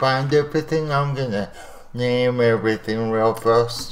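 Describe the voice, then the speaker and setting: Pitch varies in an ordinary way as the speaker talks fairly slowly. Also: man. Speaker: animation software tutorial creator. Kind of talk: tutorial. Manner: mumbling.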